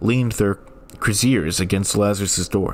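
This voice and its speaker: A man at a fairly slow pace, with ordinary pitch variation and music in the background. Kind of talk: reading of public domain ghost stories.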